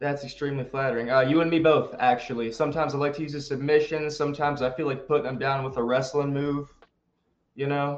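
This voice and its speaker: Speaking at a very fast pace, a man keeps a monotone, flat intonation. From North Carolina. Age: young. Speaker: pro wrestler. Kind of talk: casual chat.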